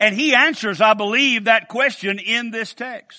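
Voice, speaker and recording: Against a quiet background, a man with an Appalachian accent speaks in a raised, projected voice. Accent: Appalachian US Southern. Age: 60s. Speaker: preacher. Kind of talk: sermon.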